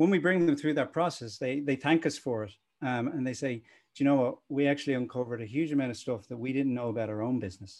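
In a Dublin accent, the speaker goes at a very fast pace with ordinary pitch variation. The background is quiet. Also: man. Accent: Dublin Irish. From Ireland, Dublin. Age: 40s. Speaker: e-commerce agency founder. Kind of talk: interview. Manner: animated.

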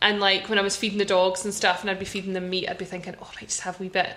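Over noticeable background noise, a woman talks in a Scottish accent at a medium pitch. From Scotland. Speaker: podcast host, law firm founder. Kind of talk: casual chat podcast. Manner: upbeat, excited.

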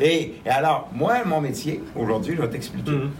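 A man speaks at a fairly slow pace with a Quebec accent and a fairly high pitch. Room echo is audible, and background noise is noticeable. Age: 60s. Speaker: angel investor. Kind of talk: interview.

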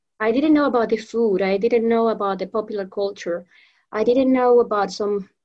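A woman speaks with a Spanish accent at a fairly high pitch. Her intonation stays fairly even. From Venezuela. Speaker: professional trainer and association founder. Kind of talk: interview. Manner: halting, many repetitions.

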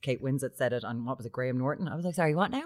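On a very clean recording with a silent background, a woman with a Limerick accent speaks at a very deep, low pitch with lively intonation. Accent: Irish (Limerick). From Ireland, Limerick. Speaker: podcast co-host. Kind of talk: casual chat.

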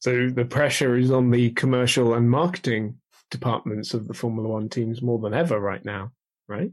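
A man with a medium pitch and an unremarkable speaking voice talks moderately fast, his pitch shifting in an ordinary way. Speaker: motorsport industry professional. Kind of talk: casual chat.

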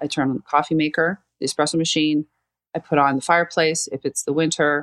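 Very deep and low in pitch, a woman speaks at a fairly quick pace in a monotone, flat intonation, with a dry, close sound with no echo on a very clean recording with a silent background. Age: 50s. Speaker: marketing and communications consultant. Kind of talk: casual interview.

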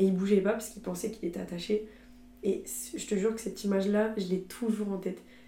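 A woman talks at a very fast pace in a medium pitch, somewhat breathy, with a dark, mellow tone and monotone, flat intonation. Her loudness swings a lot, and the room echo is audible. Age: 20s. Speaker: student and content creator. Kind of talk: casual chat.

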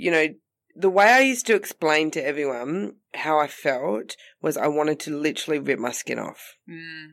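In a very clean recording with a silent background, a woman with an Australian accent speaks in a very deep, low voice whose loudness swings widely. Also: lively intonation, moderate pace. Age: 30s. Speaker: comedian. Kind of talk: casual chat.

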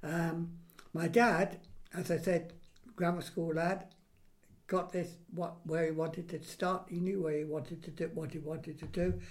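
This man has a high pitch and monotone, flat intonation. He talks at a moderate pace with long, frequent pauses. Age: 80s+. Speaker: grandfather recalling his childhood. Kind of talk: casual family interview.

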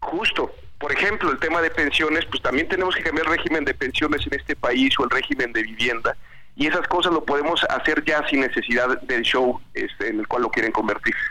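A man talks at a fairly quick pace with very even loudness. Noticeable background noise runs underneath. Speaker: legislator. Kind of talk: interview.

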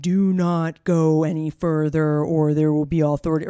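In a put-on character voice at a middle pitch, the speaker goes at a moderate pace with monotone, flat intonation. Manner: ominous, haunting.

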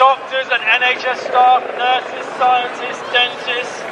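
Over noticeable background noise, a man talks very slowly at an extremely high pitch. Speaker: rally speaker. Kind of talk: rally speech, rousing. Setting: outdoors, stage with crowd.

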